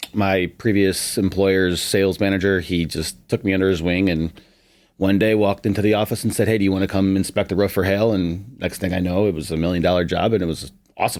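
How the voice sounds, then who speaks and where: A man with an American accent talks at a very fast pace in a very deep, low pitch. His intonation is fairly even on a very clean recording with a silent background. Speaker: roofing salesman. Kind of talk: casual podcast chat.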